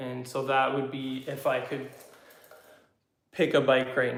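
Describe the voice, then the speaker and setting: Over audible room echo, a man at medium pitch speaks with vocal fry. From Canada, southwestern Ontario. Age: 30s. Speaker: YouTuber, motorcycle hobbyist. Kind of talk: casual live chat. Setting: garage. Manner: hesitant, many fillers.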